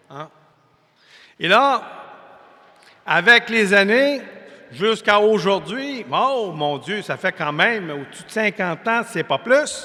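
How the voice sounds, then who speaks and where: A man's raised, projected voice in a Quebec accent, high in pitch with lively intonation and big swings in loudness, at a very slow pace with long, frequent pauses. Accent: Québécois French. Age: 60s. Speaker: preacher. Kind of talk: sermon. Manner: conversational, folksy.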